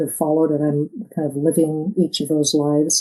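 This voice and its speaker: A woman speaks at a moderate pace with an American accent. Her tone is dark and mellow, and her pitch sits fairly low. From eastern Oregon, US. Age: 60s. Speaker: author. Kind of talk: interview.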